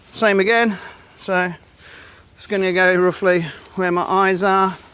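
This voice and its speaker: A man with an English accent talks at a high pitch. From England. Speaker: camping and fishing vlogger. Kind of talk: tutorial. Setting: outdoors. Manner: casual, halting with fillers.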